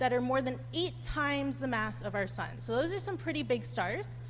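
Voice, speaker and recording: Room echo is audible around this voice. A woman talks at a moderate pace. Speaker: astronomy PhD student giving public lecture. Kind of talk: public lecture. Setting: lecture hall with live audience. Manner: loud; animated.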